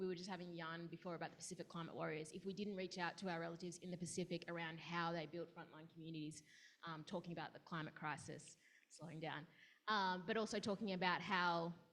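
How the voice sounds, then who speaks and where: In an Australian accent, a woman talks very fast at a fairly low pitch with monotone, flat intonation. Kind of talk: panel discussion.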